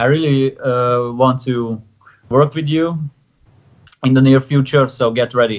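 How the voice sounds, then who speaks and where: With a Hungarian accent, a man speaks at a fairly slow pace, leaving long, frequent pauses. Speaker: pro wrestler. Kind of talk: casual chat. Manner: halting.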